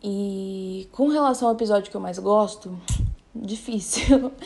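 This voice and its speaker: Her tone dark and mellow, a woman talks with fairly even intonation. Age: 20s. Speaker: children's shelter worker, podcast listener. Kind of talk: casual chat.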